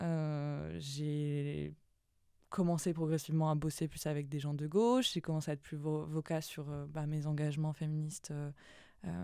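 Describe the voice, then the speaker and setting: In a dry recording with no echo and a quiet background, a woman with a very deep, low pitch and a dark, mellow tone speaks at a moderate pace with fairly even intonation. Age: 20s. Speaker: copywriter; podcast guest. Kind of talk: interview. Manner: halting. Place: studio. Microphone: studio mic.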